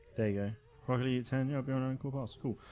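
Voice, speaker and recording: Music plays behind a man as he speaks. His intonation stays fairly even. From England. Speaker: gaming streamer. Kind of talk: live stream commentary. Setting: home live stream at night. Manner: casual, filler-heavy.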